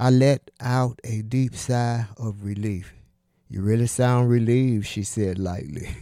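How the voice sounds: Fairly even intonation in a natural reading voice, against a quiet background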